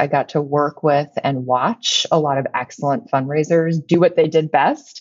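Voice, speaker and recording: A woman speaks with a Midwestern American accent. She keeps a moderate pace. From Illinois, US Midwest. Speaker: company CEO. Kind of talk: interview.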